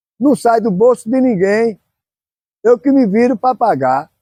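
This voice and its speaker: Here a man speaks in a high pitch with a dark, mellow tone. His pace is fairly slow, and the sound is dry and close with no echo. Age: 70s. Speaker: football club founder. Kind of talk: interview. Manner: halting.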